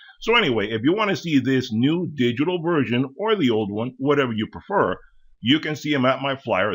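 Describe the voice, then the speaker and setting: Using an ordinary speaking voice, a man talks with a fairly high pitch and lively intonation. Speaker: tool deals YouTuber. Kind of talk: product walkthrough. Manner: casual.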